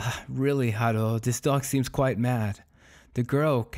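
This is a natural reading voice. It is used throughout.

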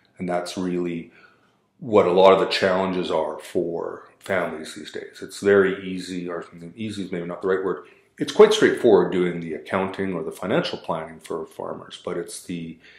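A man at a moderate pace with big swings in loudness, audible room echo and a quiet background. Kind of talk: interview answer. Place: meeting room. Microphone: camera far.

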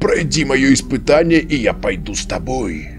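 Over clear music in the background, a man in a put-on character voice speaks at a moderate pace in a medium pitch, sounding raspy and hoarse.

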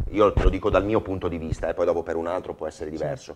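A man speaks in a Venetian accent. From Veneto, Motta di Livenza; Veneto. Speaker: football goalkeeper; guest. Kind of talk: TV talk show interview. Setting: TV studio with audience. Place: studio. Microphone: lapel.

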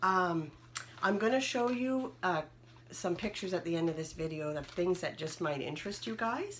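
Over noticeable background noise, a woman talks at a fairly quick pace in a fairly low pitch. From Ontario, Canada. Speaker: haul vlogger. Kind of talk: product haul show-and-tell. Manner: casual, with frequent fillers. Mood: cheerful, upbeat. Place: home room. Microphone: phone near.

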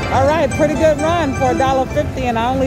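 Loud music plays in the background. The sound is dry with no echo. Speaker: casino gambling vlogger. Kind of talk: casual vlog commentary. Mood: hopeful, mildly excited. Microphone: phone near.

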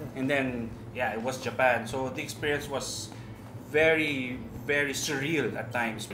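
Music plays in the background as a man speaks. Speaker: TV show host. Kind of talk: casual reminiscing conversation. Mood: relaxed, amused. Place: cafe.

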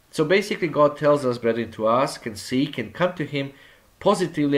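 A man with an ordinary speaking voice, fairly high in pitch and lively in intonation, is heard on a very clean recording with a silent background. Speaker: church elder preacher. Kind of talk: sermon. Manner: formal, exhortative, addressing the congregation as brethren.

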